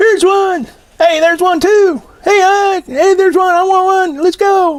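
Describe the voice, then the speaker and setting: Putting on a squeaky character voice, a man pitches it extremely high and keeps a moderate pace. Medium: read story.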